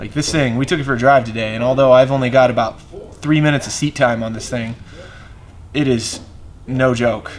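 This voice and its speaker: A man speaks at a fairly quick pace with fairly even intonation and long, frequent pauses, and the room echo is audible. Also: medium pitch for a man. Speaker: car builder and YouTube host. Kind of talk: casual garage vlog. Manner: loud.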